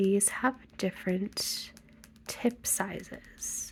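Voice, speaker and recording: A soft-spoken, gentle tone at a very slow pace. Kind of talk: ASMR ramble to camera about art supplies. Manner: softly spoken, gentle.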